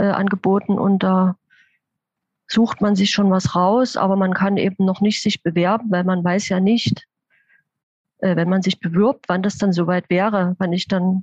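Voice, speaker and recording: The voice is somewhat breathy and the pace moderate. The sound is dry and close, with no echo. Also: woman. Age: 50s. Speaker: intensive care nurse. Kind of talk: interview.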